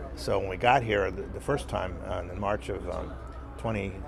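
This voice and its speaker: A man in an American accent talks over noticeable background noise. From US. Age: 60s. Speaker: screenwriter. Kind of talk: interview. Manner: halting, many fillers.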